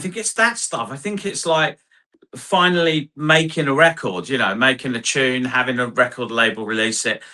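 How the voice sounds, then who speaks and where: The speaker has an English accent and a bright, sharp tone. Intonation is lively and the pace is moderate. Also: man. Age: 60s. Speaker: hard house DJ and producer. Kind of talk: interview. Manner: rambling, halting.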